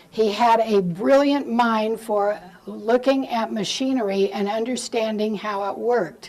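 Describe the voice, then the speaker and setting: Her fairly slow speech has a fairly high pitch and ordinary pitch variation. This woman is heard over noticeable background noise. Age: 80s+. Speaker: lecturer on quilting history. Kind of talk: lecture. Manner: animated.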